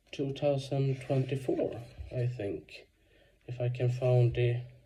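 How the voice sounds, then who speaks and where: Somewhat breathy and monotone, a man speaks with a non-native accent and flat intonation. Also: medium pitch for a man. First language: Swedish. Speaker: video blogger. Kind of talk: casual book review monologue. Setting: at home. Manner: halting, many fillers.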